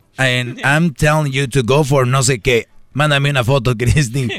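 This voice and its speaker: Pitch varies in an ordinary way as the speech proceeds very slowly. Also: man. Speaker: radio co-host. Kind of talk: casual chat.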